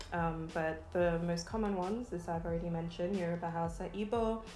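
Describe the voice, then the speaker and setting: With music in the background and audible room echo, a woman speaks at a moderate pace and fairly low pitch, using ordinary pitch variation. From Nigeria, Lagos. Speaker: vegan food YouTuber. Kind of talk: casual vlog chat while eating. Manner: relaxed, many filler ums.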